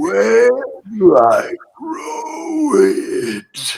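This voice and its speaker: A man's raspy, put-on character voice at an extremely high pitch. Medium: actual play. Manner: flat, simple, oddly polite.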